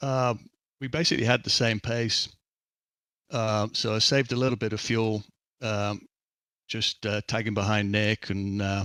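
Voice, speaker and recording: Talking at a moderate pace with long, frequent pauses, a man has a fairly low pitch, a bright, sharp tone, and fairly even intonation. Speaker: sim racing driver. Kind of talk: post-race interview.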